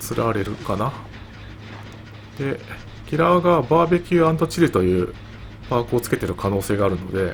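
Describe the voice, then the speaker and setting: A man talks at a moderate pace, his voice sitting at a medium pitch. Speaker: gameplay commentator. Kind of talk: game commentary.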